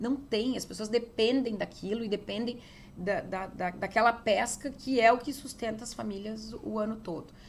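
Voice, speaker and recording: A woman with a fairly high pitch and vocal fry speaks at a moderate pace with fairly even intonation. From southern Brazil, interior of Rio Grande do Sul (Getúlio Vargas). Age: 40s. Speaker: state legislator and former police chief. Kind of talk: interview. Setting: politician's office.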